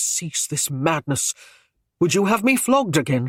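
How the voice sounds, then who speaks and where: A man's quiet, put-on character voice, high-pitched, with very wide pitch swings and a moderate pace. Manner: gritted teeth, urgent hushed anger.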